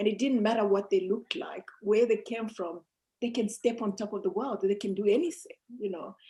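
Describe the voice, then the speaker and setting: Somewhat breathy and dark, mellow in tone, a woman speaks at a fairly quick pace and fairly high pitch with ordinary pitch variation. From Zambia and South Africa. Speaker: mountaineer and motivational speaker. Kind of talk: interview.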